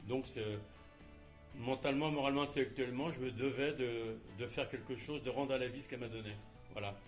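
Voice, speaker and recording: Music plays in the background as a man speaks at a fairly quick pace, broken by long, frequent pauses. His medium pitch holds a fairly even intonation. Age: 70s. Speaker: charity volunteer. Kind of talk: interview answer. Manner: hesitant, many filler sounds.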